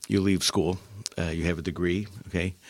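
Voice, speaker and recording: The man's pace is moderate. His voice is very deep and low. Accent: American. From Upstate New York (Utica). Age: 60s. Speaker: retired engineering executive. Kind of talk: interview. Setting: studio.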